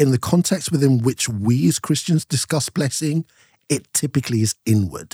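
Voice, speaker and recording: Heard dry and close with no echo, a man with a fairly high, somewhat breathy voice and a dark, mellow tone speaks at a moderate pace with lively intonation. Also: very even loudness. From Nigeria (Yoruba), moved from UK at seven. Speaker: broadcaster and speaker. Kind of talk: casual chat.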